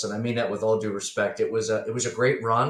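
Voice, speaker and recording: A man at medium pitch talks at a fairly quick pace in an unremarkable speaking voice. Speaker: business broker for accounting firms. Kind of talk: podcast interview.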